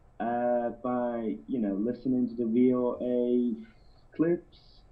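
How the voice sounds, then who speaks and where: Music plays in the background. A man is speaking. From Iran. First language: Azerbaijani. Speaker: caller. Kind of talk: casual chat. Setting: phone call. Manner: halting.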